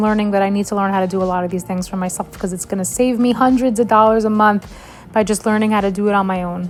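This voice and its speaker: Over noticeable background noise, a woman with an American accent talks in a flat, monotone way at a medium pitch. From New York. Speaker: vlogger. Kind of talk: casual vlog talk.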